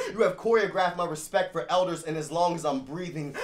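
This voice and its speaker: Noticeable background noise sits under a man's fairly high voice, which varies in pitch in an ordinary way. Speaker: spoken word poet. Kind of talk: spoken word poetry performance.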